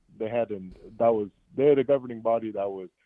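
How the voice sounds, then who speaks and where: Music plays in the background. A man speaks with ordinary pitch variation. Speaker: caller to a fan podcast. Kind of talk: call-in theory pitch. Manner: casual, with filler hesitations.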